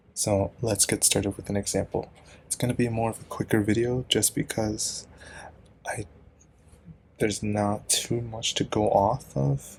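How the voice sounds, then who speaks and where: A man speaks quietly at a fairly slow pace, his fairly low pitch held in fairly even intonation. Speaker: student tutor explaining chemistry. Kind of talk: tutorial. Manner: casual, hesitant.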